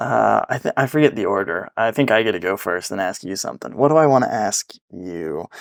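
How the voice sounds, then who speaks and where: A man's fairly low, fry-edged voice with very wide pitch swings at a fairly quick pace, dry and close with no echo. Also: hardly any pauses. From Arkansas, US South. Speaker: podcast host. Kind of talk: casual chat.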